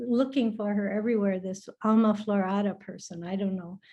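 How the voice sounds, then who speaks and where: Here a woman uses a plain, everyday voice, medium in pitch with ordinary variation. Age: 60s. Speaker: retired educator, alumna. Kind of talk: personal testimony in a video call.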